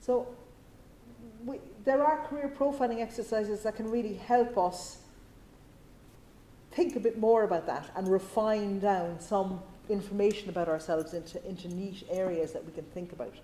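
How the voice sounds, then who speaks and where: In a Cork accent, a woman speaks at a medium pitch with lively intonation, big swings in loudness and long, frequent pauses. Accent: Irish (Cork). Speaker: career consultant. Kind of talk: talk with audience Q&A. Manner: fast.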